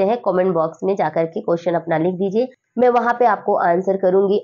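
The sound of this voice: With a slightly mellow tone and ordinary pitch variation, the voice runs at a fairly quick pace. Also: woman.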